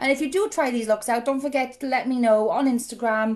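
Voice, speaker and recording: On a very clean recording with a silent background, a woman with a Welsh accent speaks in an animated tone at a fairly quick pace with ordinary pitch variation. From South Wales. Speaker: makeup hobbyist vlogger. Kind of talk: tutorial.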